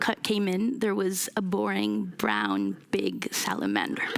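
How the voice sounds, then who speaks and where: Noticeable background noise behind a female speaker. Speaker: urban innovation lab director. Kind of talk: conference talk. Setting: stage with audience. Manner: loud.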